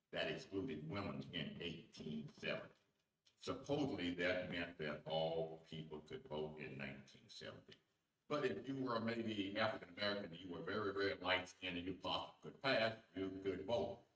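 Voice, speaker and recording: Lively intonation at a moderate pace in a Southern US accent. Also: man, very deep, low pitch for a man. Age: 80s+. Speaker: veteran local politician and poet. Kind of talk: speech at political event.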